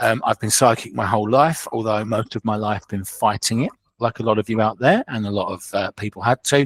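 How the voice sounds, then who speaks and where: In a southeast English accent, the speaker keeps a fairly even intonation with hardly any pauses, captured dry and close with no echo. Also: man, medium pitch for a man, fairly quick pace, very clean recording, silent background. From southeast England, Kent. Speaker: clairvoyant medium. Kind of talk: podcast interview.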